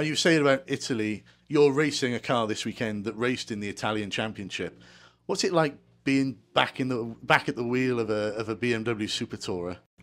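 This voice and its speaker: With ordinary pitch variation, a man's voice stays at a medium pitch. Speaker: podcast host. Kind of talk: interview. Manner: halting. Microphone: handheld.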